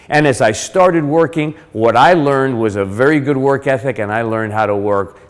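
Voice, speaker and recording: This man has an American accent and ordinary pitch variation. He talks at a moderate pace. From West Virginia, US (Charleston), Cuban-born. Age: 50s. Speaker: motivational speaker. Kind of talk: motivational talk. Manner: animated.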